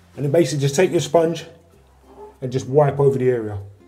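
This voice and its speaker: The intonation stays fairly even while faint music plays in the background. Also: man. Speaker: tradesman demonstrating repair. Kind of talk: tutorial. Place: bathroom.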